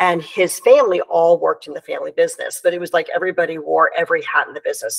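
The voice, with an American accent, has a dry, close sound with no echo and noticeable background noise. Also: woman. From United States. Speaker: entrepreneur and women's leadership coach. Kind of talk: interview conversation.

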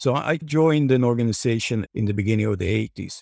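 The speaker has a Swedish accent and ordinary pitch variation. The recording is very clean and dry, with a close sound, a silent background and no echo. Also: man. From Swedish countryside near Stockholm. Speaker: investment platform director. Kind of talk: interview conversation.

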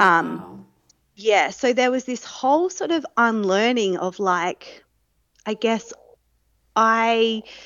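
A woman with a fairly high pitch and lively intonation speaks at a very slow pace, with long, frequent pauses and big swings in loudness. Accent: Australian. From South Australia, Adelaide. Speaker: mother sharing birth story. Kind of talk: interview.

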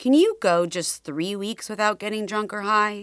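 A woman speaks in a warm, intense tone with ordinary pitch variation. The recording is very clean, with a silent background. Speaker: podcast host and memoir author. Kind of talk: dramatic audiobook narration of her memoir, read aloud. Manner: intense, confessional, measured dramatic delivery; earnest, warm.

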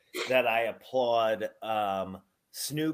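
Recorded very cleanly with a silent background, a man speaks at a medium pitch. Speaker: podcast host, professional wrestler. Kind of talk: casual chat.

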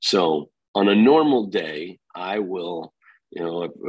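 A man speaks with a very deep, low pitch. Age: 50s. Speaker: real estate company founder. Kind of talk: interview.

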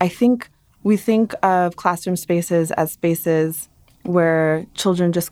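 Spoken with an American accent, the voice moves at a very slow pace with ordinary pitch variation. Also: woman. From Brooklyn, New York (emigrated from Dominican Republic). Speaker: education professor and researcher. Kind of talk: interview.

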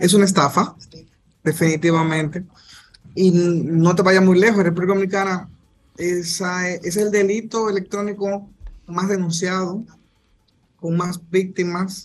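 In a high voice, a man speaks with flat, monotone intonation. His pace is fairly slow, with long, frequent pauses. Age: 30s. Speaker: prosecutor. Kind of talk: radio interview. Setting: video call.

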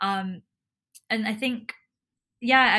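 The woman's tone is bright and sharp. The recording is very clean, with a silent background. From Hong Kong, of Indian descent. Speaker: cricketer and lawyer. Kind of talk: casual interview chat.

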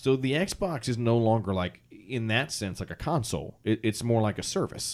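In a very clean recording with a silent background, a man speaks in an ordinary speaking voice. His pitch is medium, his intonation lively, and his pace moderate. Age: 30s. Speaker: podcast host. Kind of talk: casual chat.

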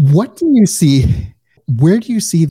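A man with a slight Midwestern US accent speaks fairly slowly in a somewhat breathy, dark, mellow tone, the sound dry and close with no echo, on a very clean recording with a silent background. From US Midwest. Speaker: podcast host. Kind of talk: interview, casual conversation.

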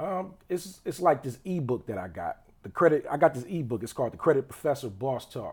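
Speaking at a fairly quick pace, a man with a fairly high pitch and vocal fry swings very widely in pitch and heavily in loudness. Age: 20s. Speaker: entrepreneur and rapper. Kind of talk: casual chat. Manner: halting, many fillers.

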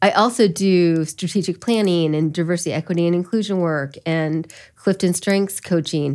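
A woman with an American accent speaks at a moderate pace in a fairly low pitch, with ordinary pitch variation, hardly any pauses, and a very clean recording against a silent background. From US Midwest, Elkhart County, Indiana. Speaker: business founder. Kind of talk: interview conversation.

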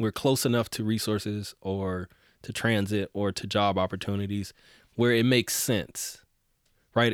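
A man with a plain, everyday voice, a fairly low pitch and fairly even intonation speaks with an American accent on a very clean recording with a silent background. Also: dry, close sound with no echo. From US South, Houston, Texas. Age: 30s. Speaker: politician and transportation advocate. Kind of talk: interview. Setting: studio.

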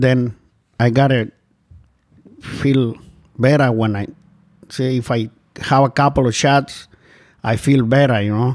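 Fairly slow, monotone, flat speech from a man of medium pitch with a Spanish accent. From Guatemala. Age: 50s. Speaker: shelter resident in recovery. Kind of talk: personal testimony. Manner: halting, non-native grammar.

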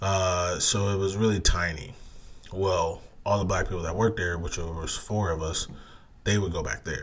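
Somewhat breathy and very deep, this man's low voice moves at a moderate pace with an American accent. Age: 30s. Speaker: podcast host. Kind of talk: casual solo podcast monologue. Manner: monotone when not excited; filler-heavy, halting.

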